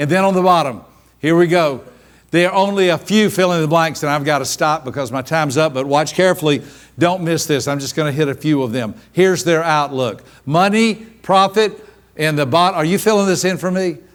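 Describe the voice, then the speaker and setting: On a very clean recording with a silent background, a man in a fairly high pitch talks at a fairly quick pace in an animated tone with ordinary pitch variation. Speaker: seminar speaker on personality styles. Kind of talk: live workshop talk. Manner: fast.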